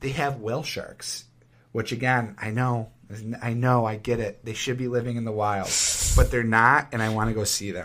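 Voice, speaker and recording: The speaker has an American accent and a moderate pace. The intonation stays fairly even. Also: man. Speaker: podcast co-host, school teacher. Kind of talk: casual chat. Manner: smooth.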